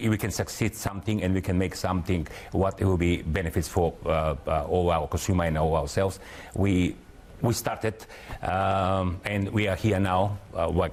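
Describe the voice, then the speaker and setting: With a Macedonian accent, a man speaks at a very deep, low pitch, with fairly even intonation and very even loudness. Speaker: company founder and director. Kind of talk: TV interview. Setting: studio. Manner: halting, many fillers.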